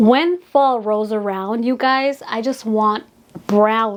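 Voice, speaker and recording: Over noticeable background noise, a woman speaks in an animated tone with a fairly high voice. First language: Spanish. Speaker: beauty influencer, retired makeup artist. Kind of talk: casual vlog showing a perfume collection. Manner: chatty, animated.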